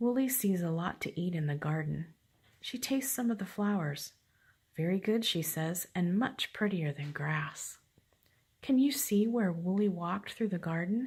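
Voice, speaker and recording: A woman speaks quietly and somewhat breathily at a moderate pace, her medium pitch shaped by lively intonation. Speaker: grandmother reading stories to grandchild. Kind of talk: reading aloud.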